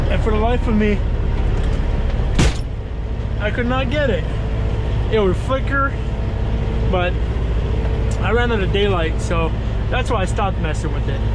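Loud background noise fills the clip. The speech has long, frequent pauses. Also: moderate pace. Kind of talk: casual vlog chat. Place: car. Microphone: phone near.

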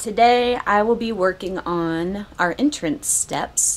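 As the woman speaks, her pitch shifts in an ordinary way. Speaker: RV remodel vlogger. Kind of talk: casual vlog chat. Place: garage. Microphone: phone near.

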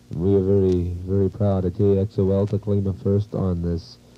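A man with an American accent talks at a moderate pace in a fairly low pitch, with music playing in the background. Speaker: 1950s radio disc jockey. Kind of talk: radio DJ show patter. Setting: vintage AM radio broadcast.

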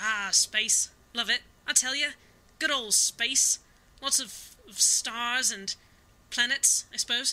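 In a put-on character voice that sounds female, the speaker uses a high pitch and a fairly slow pace with long, frequent pauses. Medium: audio drama. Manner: rambling, eager, scatterbrained.

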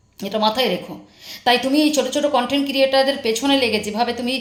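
A woman speaks loudly at a high pitch with ordinary pitch variation. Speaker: YouTube commentary vlogger. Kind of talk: angry callout monologue. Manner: harsh, scolding.

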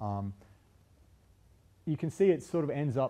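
A man's dark, mellow tone. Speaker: university lecturer. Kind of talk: lecture. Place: classroom.

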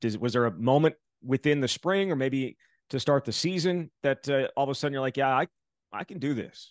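A man with a medium pitch and an American accent, an unremarkable speaking voice at a moderate pace, dry sound with no echo, quiet background. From Wisconsin. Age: 40s. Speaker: sports podcast host. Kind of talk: sports recap and interview. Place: home room. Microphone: studio mic.

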